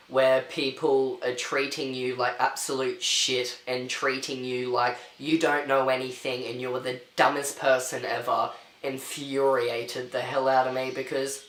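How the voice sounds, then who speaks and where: A man talks at a fairly slow pace in an Australian accent. Noticeable background noise and audible room echo run through the recording. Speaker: vlogger. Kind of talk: storytelling rant.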